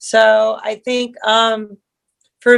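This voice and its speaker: A woman with a fairly high pitch speaks in an American accent. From US West Coast, San Diego, California. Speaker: artist and sculptor. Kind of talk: casual interview chat.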